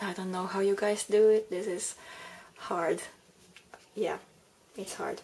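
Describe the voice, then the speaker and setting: At a fairly slow pace, a woman talks with a Finnish accent. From Finland. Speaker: crafting tutorial maker. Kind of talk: tutorial. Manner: halting.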